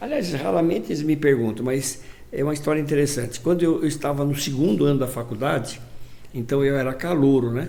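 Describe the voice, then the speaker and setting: Amid noticeable background noise and audible room echo, a man with a fairly high pitch and ordinary pitch variation speaks at a fairly quick pace. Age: 80s+. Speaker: physician and hospital director. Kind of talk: interview. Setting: studio. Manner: halting.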